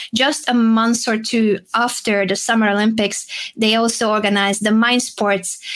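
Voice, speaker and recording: A woman with a Hungarian accent, fairly high-pitched, flat and monotone, at a moderate pace. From Hungary. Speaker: chess player and streamer. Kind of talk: casual interview chat.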